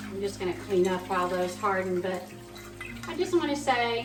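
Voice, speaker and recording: In an American accent, a woman with a warm tone speaks at a moderate pace, with music in the background and audible room echo. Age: 60s. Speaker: cooking vlogger. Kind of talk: casual cooking tutorial. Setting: barn kitchen. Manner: warm, chatty.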